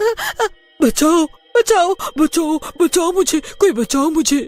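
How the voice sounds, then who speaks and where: A woman shouts in a put-on character voice at an extremely high pitch with lively intonation and a very slow pace. Music plays in the background, and the sound is dry and close with no echo. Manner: screaming for help, terrified.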